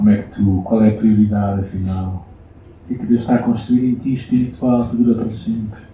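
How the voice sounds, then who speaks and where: Man with a European Portuguese accent, medium pitch, dark, mellow tone, somewhat breathy, fairly even intonation, fairly quick pace, audible room echo. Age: 60s. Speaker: pastor. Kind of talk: sermon. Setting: church.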